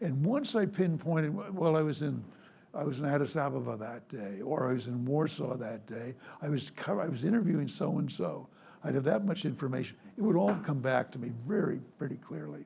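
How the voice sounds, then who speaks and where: Lively in intonation, a man with a fairly high pitch talks at a fairly quick pace amid audible room echo. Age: 80s+. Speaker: retired foreign correspondent. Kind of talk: public conversation. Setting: stage with audience.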